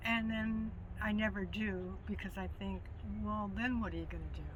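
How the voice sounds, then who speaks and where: Audible room echo follows a woman as she speaks at a moderate tempo. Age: 60s. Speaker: retired college professor living in a van. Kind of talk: casual interview.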